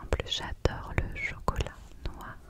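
A soft-spoken woman's whisper, dry with no echo, over loud background noise. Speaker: video creator. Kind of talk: soft-spoken ASMR chat. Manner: soft close-mic whisper. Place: home room. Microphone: studio mic.

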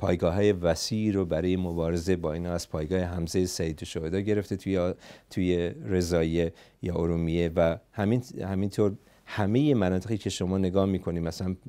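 In a Kurdish accent, a man speaks with a very deep, low pitch, a dark, mellow tone and fairly even intonation. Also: moderate pace, quiet background. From Iranian Kurdistan (Saqqez); Iranian Kurdistan. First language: Kurdish (speaking Persian). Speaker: psychotherapist and political activist; interview guest. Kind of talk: interview; interview answer. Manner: halting. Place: studio. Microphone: lapel.

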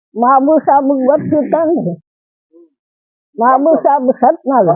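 A woman's high voice moves with lively intonation. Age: 80s+. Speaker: elderly villager recalling the past. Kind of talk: oral history interview.

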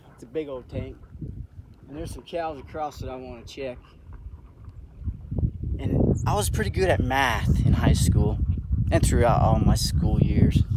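A man's speech with long, frequent pauses, a dry sound with no echo and loud background noise. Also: moderate pace. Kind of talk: casual vlog chat. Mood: playful, joking. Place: open country. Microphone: phone near.

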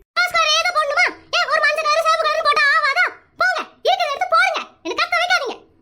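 Shouting in a squeaky put-on character voice, a woman speaks at a moderate pace with an extremely high pitch and very wide pitch swings. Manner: yelling; angry.

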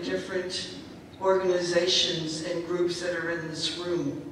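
In a room with strong echo and light background noise, a woman speaks at a fairly slow pace and medium pitch. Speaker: prayer leader. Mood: earnest, reverent. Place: hall.

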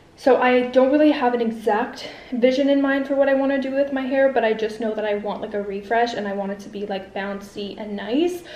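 Talking at a fairly quick pace, a woman with a high pitch and ordinary pitch variation is heard with audible room echo. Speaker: vlogger. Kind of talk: casual vlog chat. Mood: excited, upbeat. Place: home room. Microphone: phone near.

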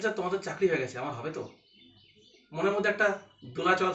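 A man's voice carries audible room echo. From West Bengal, Katwa; West Bengal. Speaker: blind graduate student. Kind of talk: personal testimony monologue. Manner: halting, many pauses. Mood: calm, reflective. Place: home room. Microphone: phone near.

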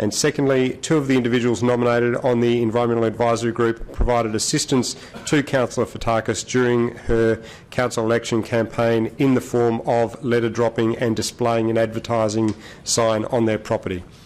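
The delivery is fairly quick, with monotone, flat intonation. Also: man, very even loudness. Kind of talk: formal reading of disclosures. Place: hall. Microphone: podium.

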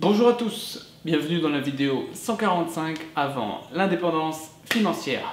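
A man with a high pitch talks at a very slow pace. Audible room echo and light background noise are present. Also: lively intonation. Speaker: online business vlogger. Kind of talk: vlog monologue. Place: home room.

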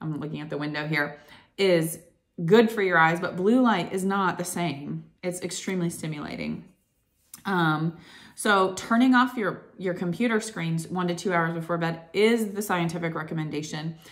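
A woman talks at a moderate pace with fairly low pitch. Her pitch varies in an ordinary way over a quiet background. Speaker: wellness vlogger. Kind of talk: casual vlog chat. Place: home room. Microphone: phone near.

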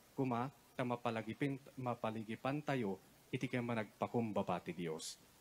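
Ordinary pitch variation comes at a fairly quick pace, over light background noise. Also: man. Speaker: priest giving homily. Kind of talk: sermon. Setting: church. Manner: formal, solemn; steady, exhortative, pastoral. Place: tent. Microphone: handheld.

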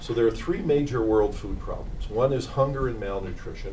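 A man speaks at a moderate pace with light background noise behind him. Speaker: invited lecturer. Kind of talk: lecture. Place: hall. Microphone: podium.

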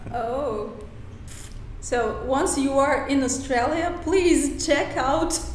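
Over light background noise and audible room echo, a woman speaks at a very slow pace in a high pitch. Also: ordinary pitch variation. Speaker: YouTuber. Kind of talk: interview questions. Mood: friendly, animated. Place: home room.

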